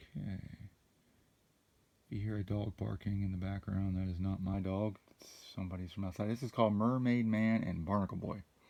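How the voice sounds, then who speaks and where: A soft-spoken man with a dark, mellow tone and fairly low pitch talks at a fairly quick pace, his intonation fairly even and broken by long, frequent pauses. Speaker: trading card unboxing YouTuber. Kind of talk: casual unboxing commentary. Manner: soft-spoken, low talker.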